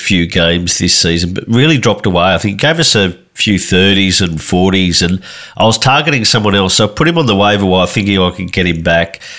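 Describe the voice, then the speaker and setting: In an Australian accent, a man with a very deep, low pitch speaks at a moderate pace with ordinary pitch variation. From Tasmania. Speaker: fantasy football podcaster. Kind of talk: casual chat.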